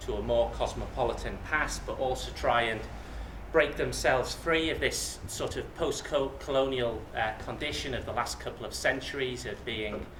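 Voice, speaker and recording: A man with a slight Yorkshire accent talks at a moderate pace, with audible room echo and noticeable background noise. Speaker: academic speaker. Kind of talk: lecture. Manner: halting, many fillers and repetitions.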